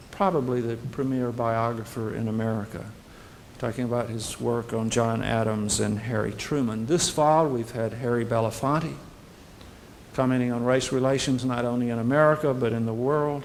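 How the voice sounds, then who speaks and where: Amid audible room echo, a man with a Southern US accent speaks at medium pitch and a moderate pace with fairly even intonation. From US South, Birmingham, Alabama. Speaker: university president. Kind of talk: welcome speech to prospective students. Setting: hotel reception with audience.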